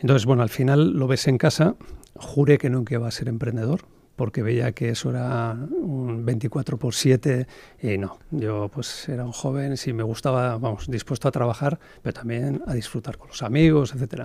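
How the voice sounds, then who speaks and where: The speaker moves at a moderate pace. Their pitch varies in an ordinary way. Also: man, medium pitch for a man, big swings in loudness. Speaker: entrepreneur. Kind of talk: podcast interview. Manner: hesitant, many fillers.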